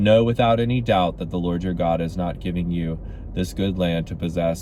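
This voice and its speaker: Audible room echo surrounds a man with a very deep, low pitch. He talks at a moderate pace with ordinary pitch variation. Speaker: Bible reading video host. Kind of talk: reading aloud; casual chat. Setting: in a car. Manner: loud projecting voice.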